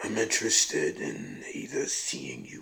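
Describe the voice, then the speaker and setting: A man speaks in a raspy voice. His pace is fairly slow. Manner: calm, cryptic, quietly ominous.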